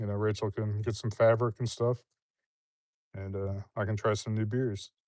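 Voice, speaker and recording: A man speaks at a moderate pace in a medium pitch, his tone relaxed and his intonation flat and monotone, against a quiet background. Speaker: woodworker. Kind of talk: casual chat. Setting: outdoors livestream. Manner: relaxed, hesitant.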